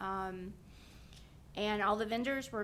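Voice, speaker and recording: A woman speaks at a medium pitch. Audible echo from the room surrounds her voice. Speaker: county events staff. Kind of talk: public meeting update. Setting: county board meeting, microphone. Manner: loud.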